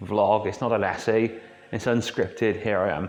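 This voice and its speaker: A man speaks with a Welsh accent. His pitch sits fairly low. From Wales. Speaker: YouTube film vlogger. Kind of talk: unscripted casual monologue. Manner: off the cuff, conversational.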